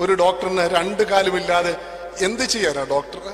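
A man talks in a high voice over noticeable background noise. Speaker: preacher. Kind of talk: sermon.

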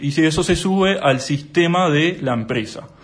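A man's voice with ordinary pitch variation. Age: 20s. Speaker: accountant and whistleblower. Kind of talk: interview. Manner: hesitant, many fillers.

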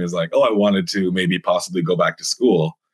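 A man with a Canadian accent speaks at a fairly low pitch in an unremarkable speaking voice. The sound is dry and close, with no echo. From British Columbia, Canada. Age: 20s. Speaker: writer and stand-up comedian. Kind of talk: casual interview.

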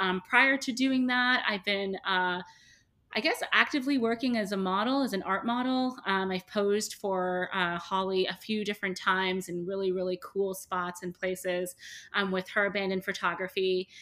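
On a very clean recording with a silent background, a woman speaks at medium pitch and a moderate pace, with a bright, sharp tone and ordinary pitch variation. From Canada, Toronto. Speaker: hair removal studio owner. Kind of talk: interview.

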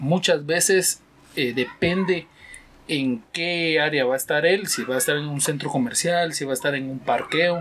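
This man has an ordinary speaking voice. His pitch is fairly high, and it varies in an ordinary way. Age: 30s. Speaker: security guard and father. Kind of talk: casual interview.

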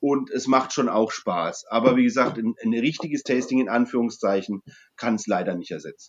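The intonation shows normal rises and falls. Words come at a moderate speed. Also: man, medium pitch for a man. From Franconia, Germany. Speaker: brewery co-owner. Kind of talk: casual chat. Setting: video call.

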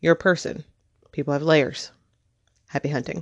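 A woman with a Southern US accent speaks in a dry, close sound with no echo. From rural Tennessee. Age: 30s. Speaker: podcaster and children's book author. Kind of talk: reading aloud own blog post.

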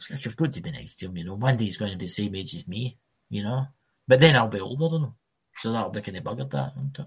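Breathing somewhat audibly, a man races along at a very fast pace at a medium pitch, his intonation lively and his loudness swinging widely. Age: 40s. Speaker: podcast co-host. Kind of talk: casual chat.

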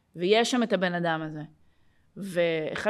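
Speaking at a fairly slow pace, a woman with an ordinary speaking voice uses medium pitch and lively intonation. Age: 30s. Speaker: podcast host and life coach. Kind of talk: casual interview.

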